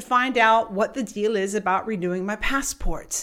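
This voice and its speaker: Using a plain, everyday voice, a woman talks at a fairly quick pace and fairly high pitch with lively intonation. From US South. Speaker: coach and keynote speaker. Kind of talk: motivational storytelling podcast.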